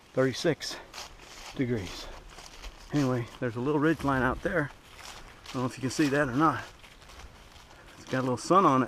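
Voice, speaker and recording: Taking long, frequent pauses, a man speaks at a medium pitch against noticeable background noise. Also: ordinary pitch variation. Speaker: hiker vlogger. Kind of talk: casual vlog narration. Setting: outdoors on a hiking trail. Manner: quiet.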